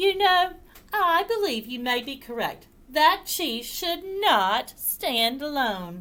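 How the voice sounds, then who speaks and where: Using a put-on character voice, a woman speaks at a high pitch with very wide pitch swings. Her pace is very slow. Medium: read story.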